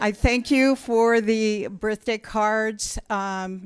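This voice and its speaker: A woman with monotone, flat intonation on a very clean recording with a silent background. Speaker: shareholder speaking at meeting. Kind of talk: public comment at meeting. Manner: halting.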